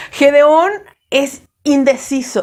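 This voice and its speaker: This woman's voice sits high in pitch. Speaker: preacher. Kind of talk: sermon. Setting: at home, online sermon. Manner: hesitant, filler words.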